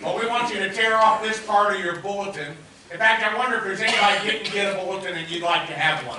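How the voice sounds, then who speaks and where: Raising and projecting his voice, a man talks at a very fast pace with fairly even intonation, amid audible room echo and light background noise. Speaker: pastor. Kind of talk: sermon announcements. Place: church.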